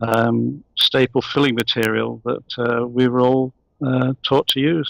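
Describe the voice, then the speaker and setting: A man's medium pitch with a British accent, fairly slow pace and fairly even intonation, dry and close with no echo. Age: 70s. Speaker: holistic dentist. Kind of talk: interview.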